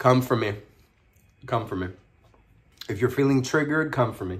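A man with a medium pitch sounds animated and somewhat breathy, with lively intonation. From New York City (Harlem), Puerto Rican family; New York City. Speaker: food vlogger. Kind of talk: mukbang video, casual talk while eating. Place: home room. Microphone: phone near.

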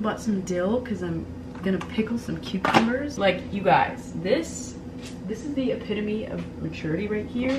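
Loud background noise sits behind the voice of a woman. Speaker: lifestyle vlogger. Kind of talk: casual vlog chat. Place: home room. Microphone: camera far.

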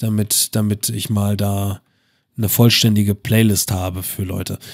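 Monotone and flat, a man's voice sits fairly low in pitch. He keeps to a moderate pace. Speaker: gaming YouTuber. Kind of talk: gameplay commentary. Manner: halting, many fillers.

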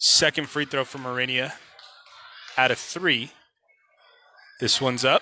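With monotone, flat intonation, a man speaks at a fairly slow pace, leaving long, frequent pauses, in a dry sound with no echo and light background noise. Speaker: sports commentator. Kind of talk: live sports commentary, play-by-play of a basketball game. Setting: arena broadcast of a game. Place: hall.

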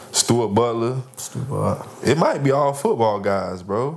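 A man with an American accent talks at a very slow pace and ordinary pitch variation. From Lakeland, Florida; Florida. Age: 20s. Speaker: professional basketball player; podcast guest. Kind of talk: casual chat. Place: home room.

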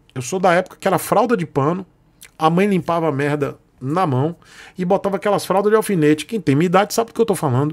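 A man's lively intonation at a fairly quick pace, set against a quiet background. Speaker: motorcycle youtuber. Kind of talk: casual vlog chat. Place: home room.

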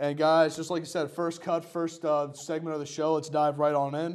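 Speaking at a moderate pace in a monotone, flat intonation, a man is heard over a quiet background. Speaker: student show host. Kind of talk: sports show hosting. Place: studio. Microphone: lapel.

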